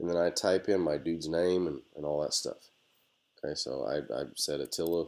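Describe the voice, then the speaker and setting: Pausing long and often, a man speaks in a very deep, low pitch with ordinary pitch variation. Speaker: teacher. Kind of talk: tutorial. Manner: fast; casual.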